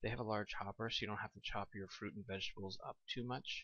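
A soft-spoken man talks at a fairly low pitch. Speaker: home video blogger. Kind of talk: casual product review. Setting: at home at night.

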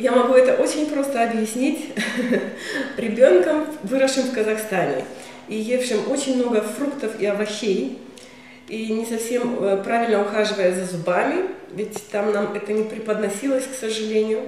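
A woman speaks with ordinary pitch variation and long, frequent pauses, her voice carrying a strong room echo over light background noise. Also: moderate pace. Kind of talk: interview answer. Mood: warm, personal reflection. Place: office.

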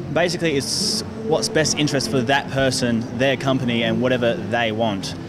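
Noticeable background noise sits behind a man who talks at a moderate pace, his pitch varying in an ordinary way. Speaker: interviewee. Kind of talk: interview answer. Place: street. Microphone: handheld.

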